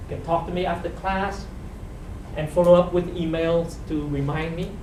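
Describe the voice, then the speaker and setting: Noticeable background noise is present throughout. The delivery keeps a moderate pace. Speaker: professor. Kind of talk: lecture. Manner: soft-spoken; halting. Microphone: no microphone yet in large room.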